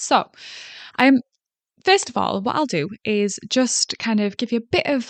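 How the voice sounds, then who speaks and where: A woman speaks with a Yorkshire accent at a moderate pace. The sound is dry and close with no echo, over a quiet background. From South Yorkshire, England. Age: 30s. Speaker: podcast host. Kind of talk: solo podcast monologue. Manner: hesitant, many fillers.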